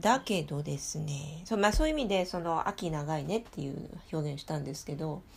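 With a very deep, low pitch, a woman talks in a somewhat breathy, animated tone with lively intonation. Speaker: podcast host. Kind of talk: casual chat. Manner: animated, talkative.

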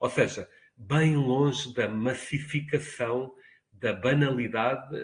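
Speaking at a very slow pace, a man with a medium pitch sounds somewhat breathy and uses ordinary pitch variation. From Portugal, Lisbon. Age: 50s. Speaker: university professor. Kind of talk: interview. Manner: formal.

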